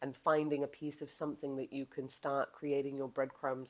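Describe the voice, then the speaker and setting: At a moderate pace, a woman talks in a very deep, low pitch. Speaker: wellness coach and podcaster. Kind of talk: casual monologue. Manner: animated.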